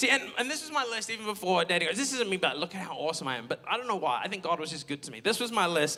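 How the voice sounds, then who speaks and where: Very wide pitch swings over noticeable background noise. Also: man. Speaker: pastor. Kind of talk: sermon. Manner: loud; animated.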